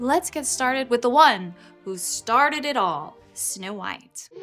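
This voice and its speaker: Music plays in the background as a woman speaks in a high pitch with lively intonation. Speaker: voice actor. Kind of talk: casual talk to camera.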